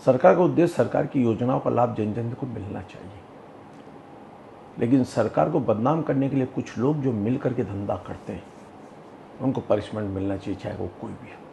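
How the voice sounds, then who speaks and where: A man talks with ordinary pitch variation and big swings in loudness. Noticeable background noise runs under the recording. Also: medium pitch for a man, moderate pace. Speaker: politician, state legislator. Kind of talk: interview answer.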